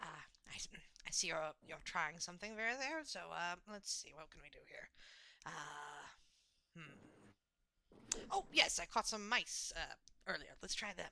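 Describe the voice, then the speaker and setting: A female-sounding put-on character voice at middle pitch goes at a moderate pace, with long, frequent pauses. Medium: actual play. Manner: chatty, enthusiastic, lecturing.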